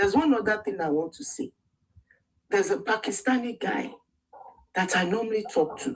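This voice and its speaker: Long, frequent pauses break up a woman's fairly quick speech. Her fairly high voice moves in very wide pitch swings. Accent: Nigerian. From Nigeria. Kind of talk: heated debate.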